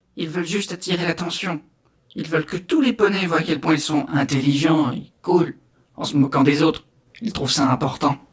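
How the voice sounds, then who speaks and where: A woman's raspy, put-on character voice, very deep and low, at a moderate pace. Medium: read story.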